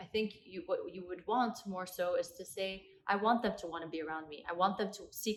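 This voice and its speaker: A woman talks at a fairly quick pace with a medium pitch. Her intonation is fairly even. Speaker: athlete and entrepreneur. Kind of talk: podcast interview. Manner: articulate speaker.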